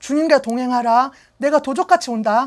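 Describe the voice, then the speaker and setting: Here a woman speaks in an animated tone at a moderate pace. Her pitch is high, with ordinary variation. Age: 50s. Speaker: pastor. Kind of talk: sermon.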